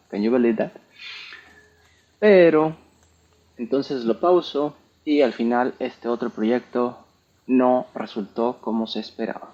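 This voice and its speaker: A man with a Mexican accent at medium pitch, moderate pace, ordinary pitch variation and long, frequent pauses. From Mexico. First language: Spanish. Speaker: entrepreneur and software developer. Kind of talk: tech talk presentation. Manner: code-switching English and Spanish.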